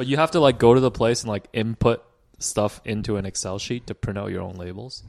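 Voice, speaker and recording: Against a quiet background, a man with an unremarkable speaking voice talks at a fairly quick pace in a medium pitch, with ordinary pitch variation and big swings in loudness. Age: 30s. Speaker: basketball podcast co-host. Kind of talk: casual chat. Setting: basement of a rental home.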